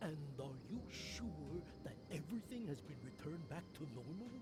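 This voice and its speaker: Against loud background noise, a man does a put-on character voice at a fairly high pitch and a moderate pace. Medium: video game.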